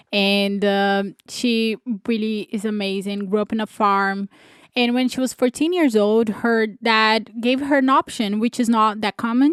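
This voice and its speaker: A woman's fairly high-pitched voice with a Brazilian accent, fairly slow, on a very clean recording with a silent background. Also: ordinary pitch variation, dry, close sound with no echo. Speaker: podcast co-host. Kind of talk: casual chat.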